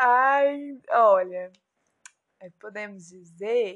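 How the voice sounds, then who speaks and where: A woman speaks in a high pitch. Lively intonation marks her delivery. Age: 20s. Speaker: former bank employee. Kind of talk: casual interview.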